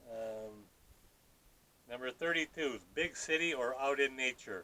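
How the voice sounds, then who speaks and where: Speaking at a fairly slow pace, a man with an American accent has a medium pitch, a bright, sharp tone and ordinary pitch variation. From Minnesota (Minneapolis). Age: 60s. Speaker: off-grid homesteading vlogger. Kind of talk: casual Q&A vlog. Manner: halting, self-correcting.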